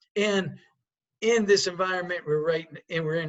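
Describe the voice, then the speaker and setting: A man talking in an American accent uses ordinary pitch variation. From New York state (Poughkeepsie). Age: 60s. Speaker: sportsbook executive. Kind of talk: interview.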